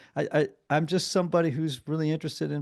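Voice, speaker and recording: A man with an American accent over a quiet background. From US Northeast, southern Connecticut. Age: 60s. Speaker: therapist and recovering alcoholic. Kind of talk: counseling interview. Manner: halting.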